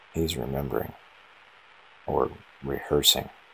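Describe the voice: Extremely low in pitch, a man speaks at a fairly slow pace with a husky, rough edge, vocal fry, a fairly bright tone and fairly even intonation.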